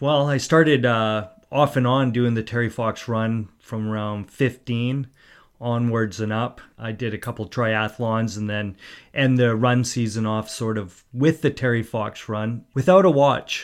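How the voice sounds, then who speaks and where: A man with a western Canadian accent speaks at a medium pitch, fairly slowly, with fairly even intonation. The recording is very clean, with a silent background. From Port Coquitlam, British Columbia, Canada. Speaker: amateur cyclist. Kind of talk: interview. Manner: halting.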